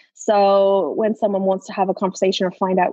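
With an Irish accent, a woman at medium pitch talks at a fairly quick pace in a dry, close sound with no echo. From Ireland. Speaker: social media marketing expert. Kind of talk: casual interview chat. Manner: hesitant with frequent fillers.

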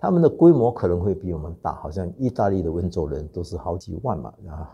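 Over a quiet background, a man speaks at a fairly quick pace in a dark, mellow, somewhat breathy tone with very wide pitch swings. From Singapore. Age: 60s. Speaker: clan association president. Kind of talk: interview. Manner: hesitant with fillers.

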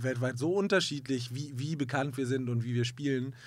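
Here a man with an ordinary speaking voice talks at a fairly quick pace, his medium pitch carrying fairly even intonation. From Hamburg, northern Germany. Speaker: musician. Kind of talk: interview. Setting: studio.

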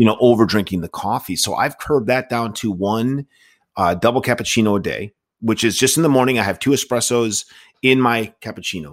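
A man with a plain, everyday voice speaks at a fairly quick pace and a medium pitch, with ordinary pitch variation. The recording is very clean, with a silent background. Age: 50s. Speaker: podcast host, recovering addict. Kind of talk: casual chat.

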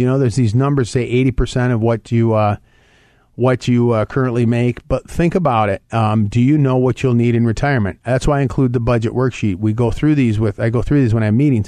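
Against a quiet background, a man speaks at a very fast pace in a dark, mellow tone with very even loudness. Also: medium pitch for a man, fairly even intonation. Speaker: radio host and financial advisor. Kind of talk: radio call-in show monologue on finance. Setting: radio studio.

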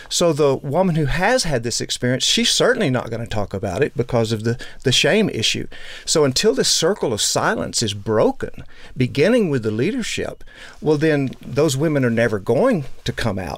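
With an American accent, a man speaks at a fairly high pitch with very wide pitch swings. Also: moderate pace. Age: 60s. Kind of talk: interview.

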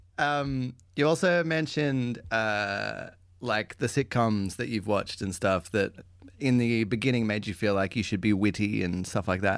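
An Australian accent from a man with a fairly low pitch, at a moderate pace, in a very clean recording with a silent background. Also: ordinary pitch variation. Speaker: improv comedy host. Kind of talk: casual interview chat. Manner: informal, hesitant with fillers.

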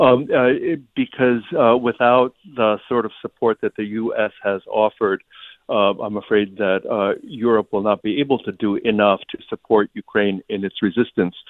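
Speaking in a normal speaking voice with an American accent, a man talks at medium pitch and a fairly slow pace. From US, New Jersey. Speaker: writer and English professor. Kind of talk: interview; reading aloud.

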